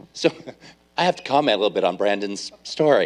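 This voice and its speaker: The pace is moderate as a man speaks. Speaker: addiction recovery house director. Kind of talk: workshop talk. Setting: church workshop with audience and microphone. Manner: loud.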